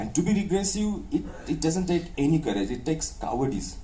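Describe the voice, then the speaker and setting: Audible room echo surrounds the speaker. The delivery is fairly quick, with lively intonation. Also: man. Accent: Maharashtrian. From India, North Maharashtra village near Dhule. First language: Ahirani. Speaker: professor and author. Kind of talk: interview. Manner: hesitant, frequent uh fillers and restarts; code-switching English and Hindi.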